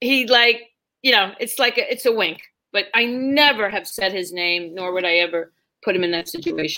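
Speaking at a moderate pace, a woman with a normal speaking voice, medium pitch and an American accent uses lively intonation. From New York City. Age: 30s. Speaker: stand-up comedian. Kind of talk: casual chat. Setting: video call.

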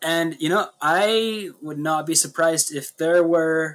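A man talks very slowly in a fairly high register, his pitch varying in an ordinary way. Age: 20s. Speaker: podcast co-host. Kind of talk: casual chat.

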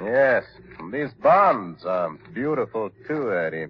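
A man puts on a character voice, fairly low-pitched with a slightly husky edge. He talks at a slow pace with big pitch swings.

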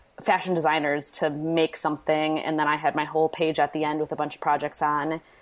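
A woman speaks with an Upper Midwest US accent at a very deep, low pitch and a fairly quick pace. Her intonation is monotone and flat, and the recording is very clean, with a silent background. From Wisconsin, Manitowoc. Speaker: DIY blogger. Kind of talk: interview.

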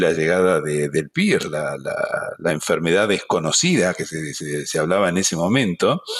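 A man with an Argentine accent. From Argentina, Buenos Aires. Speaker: veterinary professor. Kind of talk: interview.

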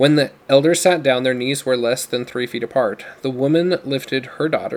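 This natural reading voice shows pitch variation of an ordinary kind.

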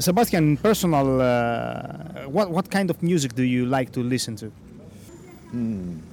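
With a Greek accent, a man speaks at a fairly high pitch and a fairly slow pace, his intonation lively. Long pauses come often, and background noise is noticeable. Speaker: podcast host. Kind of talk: interview. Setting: outdoors on the street. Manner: hesitant, halting English.

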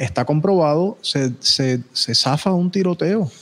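The man's voice sits at a fairly high pitch. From Puerto Rico. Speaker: podcast host. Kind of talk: casual chat.

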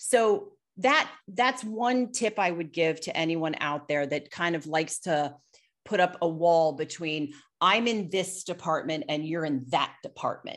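In a normal speaking voice, the speaker goes at a fairly slow pace with lively intonation over a quiet background. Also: woman, fairly low pitch for a woman. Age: 50s. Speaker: business executive. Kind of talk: casual chat.

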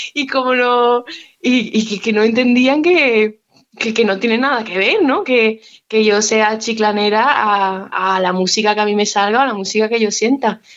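A woman's ordinary speaking voice, fairly high-pitched and fairly slow, with ordinary pitch variation and very even loudness. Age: 20s. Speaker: musician. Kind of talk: interview.

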